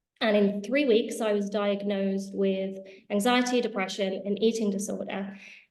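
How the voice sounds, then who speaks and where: Her voice at a medium pitch, a woman speaks at a moderate pace with ordinary pitch variation, and room echo is audible. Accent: British. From England, Spanish family. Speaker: healing school founder and entrepreneur. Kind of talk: interview. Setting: video call.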